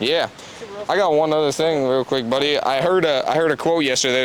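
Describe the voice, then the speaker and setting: A man talks with ordinary pitch variation as noticeable background noise carries on. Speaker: real estate investor and podcast host. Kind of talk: casual chat. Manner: fast.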